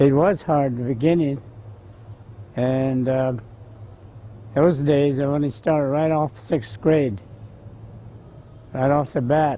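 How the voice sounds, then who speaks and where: A dark, mellow voice with a Southwestern US accent, very slow and broken by long, frequent pauses. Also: man, fairly high pitch for a man, ordinary pitch variation. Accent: Navajo-accented English. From Navajo Reservation near Farmington, New Mexico. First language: Navajo. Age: 70s. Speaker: war veteran. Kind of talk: oral history interview. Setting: outdoors in the sun. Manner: halting.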